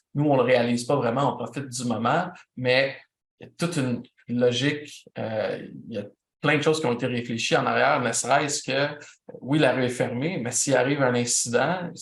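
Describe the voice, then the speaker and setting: A somewhat breathy man speaks with a Quebec accent at a medium pitch and a moderate pace. His intonation is fairly even, and audible room echo surrounds him. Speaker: event producer and instructor. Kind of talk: lecture.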